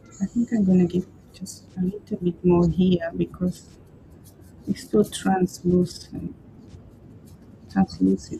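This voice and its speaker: A woman's somewhat breathy, dark, mellow voice, fairly low in pitch, relaxed and fairly slow, with fairly even intonation and long, frequent pauses. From Peru. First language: Spanish. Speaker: craft artist. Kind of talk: livestream craft tutorial. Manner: relaxed, hesitant with fillers.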